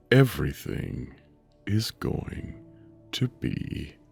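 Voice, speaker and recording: A man is speaking. Music plays in the background. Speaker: meditation guide. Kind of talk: sleep meditation. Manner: slow, soft-spoken.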